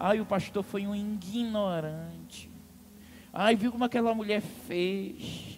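His delivery is very slow. The man's pitch sits high. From Amazonas, Brazil. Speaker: pastor. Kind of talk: sermon. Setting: church. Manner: animated.

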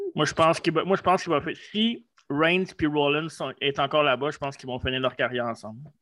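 A man speaks at a fairly quick pace with a fairly high pitch. His pitch varies in an ordinary way. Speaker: wrestling podcast co-host. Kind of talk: casual chat.

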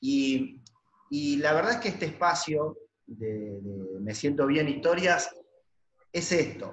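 A man with a fairly high voice speaks very slowly, his pitch swinging very widely between long, frequent pauses. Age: 50s. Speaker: podcast host, multilevel marketing distributor. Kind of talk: casual interview.

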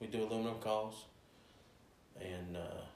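A man speaks in a fairly low pitch with monotone, flat intonation. Audible room echo surrounds his voice. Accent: Appalachian. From West Virginia, Cross Lanes. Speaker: game call maker. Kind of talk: casual chat.

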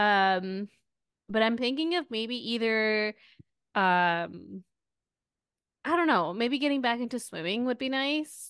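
At a very slow pace with long, frequent pauses, the speaker uses lively intonation against a quiet background. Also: woman, fairly high pitch for a woman. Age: 30s. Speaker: podcast co-host. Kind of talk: casual chat.

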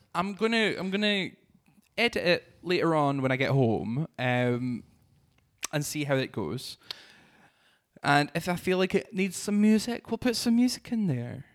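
With a southern Scottish accent, a man speaks at a high pitch with very wide swings, leaving long, frequent pauses. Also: fairly slow pace. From Scotland, Dumfries and Galloway. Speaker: drag artist and podcast host. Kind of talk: casual chat. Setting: studio.

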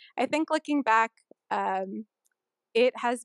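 In a very clean recording with a silent background and a dry, close sound with no echo, a woman talks with a Californian accent. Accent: Californian American English. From California, Sunnyvale. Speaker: airline pilot. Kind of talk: interview.

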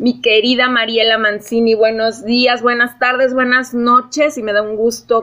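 A woman with an ordinary speaking voice, fairly high pitch, ordinary pitch variation and a moderate pace. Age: 40s. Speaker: podcast host. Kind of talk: casual interview chat.

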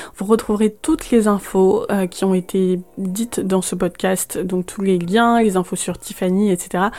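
Speaking at a fairly slow pace with hardly any pauses, a woman uses a medium pitch, fairly even intonation and a dark, mellow tone. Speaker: podcast host. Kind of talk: interview. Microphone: poor sound quality, host hard to hear.

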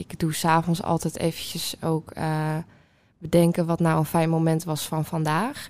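A woman speaks at a moderate pace in an unremarkable speaking voice. Her pitch is fairly low. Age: 20s. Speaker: student. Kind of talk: casual chat.

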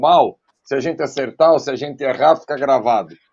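This man's delivery is animated. He talks at a moderate speed. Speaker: football pundit. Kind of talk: post-match football talk show.

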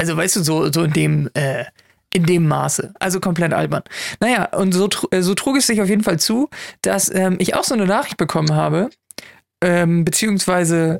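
A woman speaks in a fairly low pitch with ordinary pitch variation. Her pace is moderate and her loudness very even. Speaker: podcast co-host. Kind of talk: casual chat. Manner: louder show voice. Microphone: mic placed very close.

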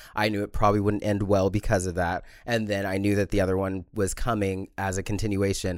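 On a very clean recording with a silent background, a man with a fairly low pitch talks at a fairly quick pace in a monotone, flat intonation. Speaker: podcast co-host. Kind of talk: casual chat. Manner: loud.

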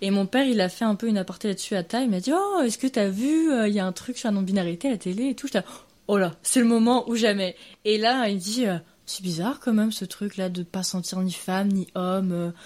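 This woman has an unremarkable speaking voice at a medium pitch, with ordinary pitch variation. She talks at a fairly quick pace in a very clean recording with a silent background. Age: 20s. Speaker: interviewee. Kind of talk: casual interview.

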